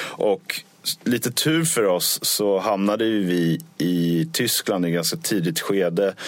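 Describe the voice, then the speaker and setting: Lively intonation marks a man's very slow speech, delivered at a fairly low pitch with very even loudness. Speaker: touring band musician. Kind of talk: casual interview. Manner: halting, repeats words.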